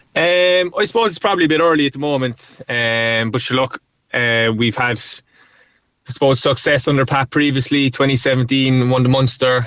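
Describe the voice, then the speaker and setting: A man speaks at a moderate pace and medium pitch. His loudness stays very even, with ordinary pitch variation. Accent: Cork. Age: 20s. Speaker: hurler. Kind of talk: interview.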